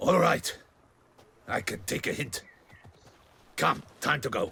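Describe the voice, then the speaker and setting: Using a put-on character voice, a man talks in a raspy way at a fairly slow pace. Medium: video game. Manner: aggressive, sneering.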